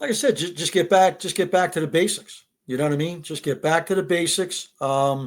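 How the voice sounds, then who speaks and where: On a very clean recording with a silent background, a man with a high pitch speaks at a fairly quick pace with ordinary pitch variation and hardly any pauses. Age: 60s. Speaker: high school football coach. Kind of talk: interview. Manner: repetitive, stammering restarts.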